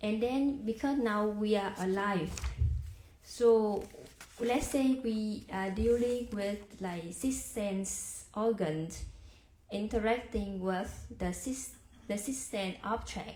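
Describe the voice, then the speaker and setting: In a Vietnamese accent, a woman speaks very slowly at a fairly high pitch with ordinary pitch variation, and audible room echo surrounds her voice. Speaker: Buddhist practitioner sharing dharma. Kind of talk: dharma discussion. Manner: halting.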